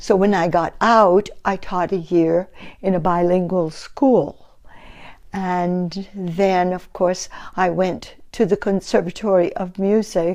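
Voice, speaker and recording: The speaker has an American accent and fairly even intonation. The pace is very slow, with a quiet background. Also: woman, medium pitch for a woman. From US Northeast, Woonsocket, Rhode Island. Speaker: retired opera singer and music teacher. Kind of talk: oral history interview. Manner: hesitant, with fillers.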